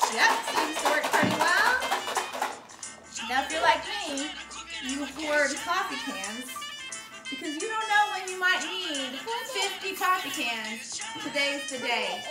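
A woman speaks at a fairly slow pace, with long, frequent pauses. Loud music plays in the background. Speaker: music teacher with child. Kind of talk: casual tutorial. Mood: cheerful, playful. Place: kitchen.

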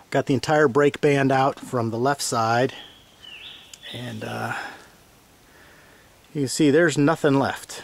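In a dry recording with no echo, a man talks at a very slow pace with fairly even intonation. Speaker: tractor owner restoring it. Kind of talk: tutorial. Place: open country. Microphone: phone near.

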